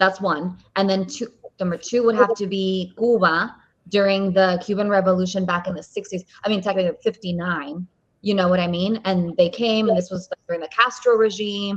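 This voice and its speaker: A woman with an unremarkable speaking voice talks at a fairly quick pace, medium in pitch, with fairly even intonation. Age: 20s. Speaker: podcast host. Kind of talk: podcast interview.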